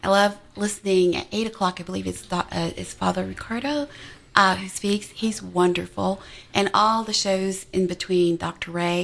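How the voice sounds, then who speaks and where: In an unremarkable speaking voice, a woman talks at a moderate pace with a medium pitch and fairly even intonation. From Montreal, Canada. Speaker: nurse and PhD researcher, cancer survivor. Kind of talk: radio testimony. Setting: radio studio.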